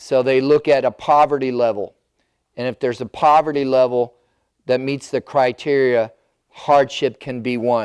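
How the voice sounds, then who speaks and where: With an American accent, a man speaks at a moderate pace, his medium pitch carried in fairly even intonation. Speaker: elder care planning advisor. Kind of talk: seminar presentation. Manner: loud.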